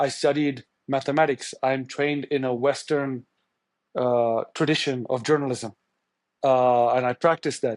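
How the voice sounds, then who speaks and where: A man's medium-pitched, monotone voice with flat intonation at a fairly slow pace, over a quiet background. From India, Tamil. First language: Tamil. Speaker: journalist. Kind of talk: interview. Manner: halting.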